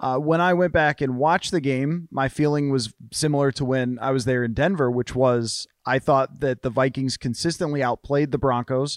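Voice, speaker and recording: Using a normal speaking voice at medium pitch, a man keeps a moderate pace with hardly any pauses, very even loudness and fairly even intonation, in a dry, close sound with no echo. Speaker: sports journalist. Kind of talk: casual chat.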